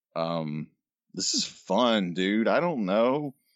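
Lively intonation marks a man with an unremarkable speaking voice, a fairly low pitch and an American accent. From North Carolina. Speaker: podcast co-host, illustrator. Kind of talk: casual chat.

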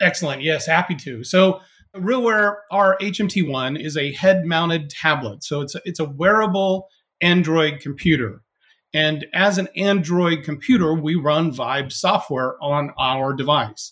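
A man with an American accent, an unremarkable speaking voice, a fairly high pitch with ordinary variation, and a fairly slow pace. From US West Coast. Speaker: sales executive. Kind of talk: interview conversation. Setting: remote call.

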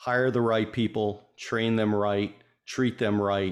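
A man's fairly low, fairly evenly intoned voice, a normal speaking voice, in a very clean recording with a silent background. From Connecticut, US. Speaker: former theme park leader, consultant. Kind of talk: interview.

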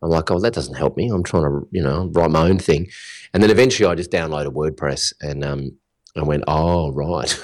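In a very clean recording with a silent background, a man speaks at a fairly quick pace with an Australian accent. His pitch is very deep and low, with vocal fry. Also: ordinary pitch variation. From Australia (Melbourne). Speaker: digital business coach. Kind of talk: interview.

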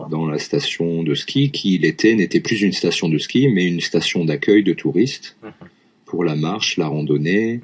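Over noticeable background noise, a man with a very deep, low pitch speaks at a fairly slow pace with lively intonation. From France, Lyon area. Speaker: French teacher. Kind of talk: casual chat.

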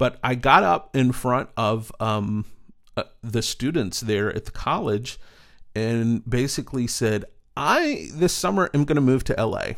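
In a very clean recording with a silent background, a man with an American accent speaks in a normal speaking voice at medium pitch, with ordinary pitch variation and a fairly slow pace. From East Texas. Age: 40s. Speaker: storyteller and speaker. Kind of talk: casual interview.

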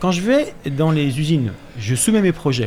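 Amid noticeable background noise, a man with a fairly high voice sounds animated, his pitch swinging very widely. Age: 50s. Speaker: clothing brand founder. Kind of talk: radio interview, casual chat.

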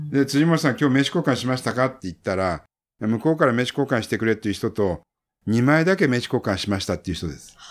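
This man talks at a very fast pace with very wide pitch swings around a medium pitch. The recording is very clean, with a silent background. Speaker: publishing consultant, book-publishing expert. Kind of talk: casual talk, book introduction.

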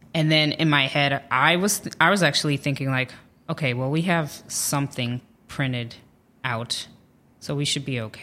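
Over a silent background in a very clean recording, a woman with an American accent speaks in a very deep, low pitch, her tone bright and sharp and her pitch varying in an ordinary way. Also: moderate pace. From Ohio, US Midwest. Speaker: comedian. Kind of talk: casual chat.

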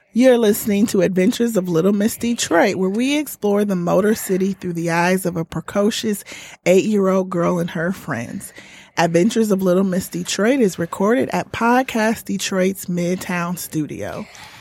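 A woman's medium-pitched voice in an American accent, with ordinary pitch variation and a moderate pace. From Indiana. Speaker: co-host, parent. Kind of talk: casual interview. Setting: studio.

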